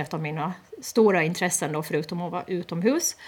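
Here a woman talks in an unremarkable speaking voice at a fairly low pitch. Her pitch variation is ordinary. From Åland, Eckerö. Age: 30s. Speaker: parliamentary candidate. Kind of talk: radio interview.

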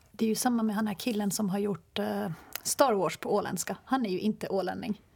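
A woman's somewhat breathy voice at medium pitch, fairly even in intonation, at a fairly quick pace. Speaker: radio journalist and podcast host. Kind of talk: casual discussion.

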